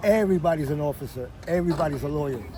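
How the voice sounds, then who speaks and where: Talking at a fairly quick pace, a man has an American accent. Noticeable background noise and audible room echo are present. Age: 60s. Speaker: war veteran. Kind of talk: casual chat.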